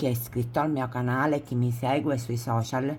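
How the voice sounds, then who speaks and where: A very clean recording of a woman, with a silent background. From Sicily. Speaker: crochet tutorial creator. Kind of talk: tutorial. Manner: casual, with self-corrections.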